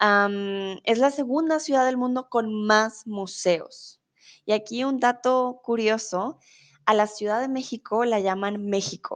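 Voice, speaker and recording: Against a quiet background, a woman with a fairly high pitch speaks very slowly with ordinary pitch variation. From Colombia. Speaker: Spanish tutor. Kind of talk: live-stream lesson. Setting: live stream with chat.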